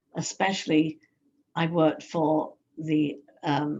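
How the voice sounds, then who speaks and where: This woman's voice sits at a fairly low pitch. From London, England. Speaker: hypnotherapist and life coach. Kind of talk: interview. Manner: halting.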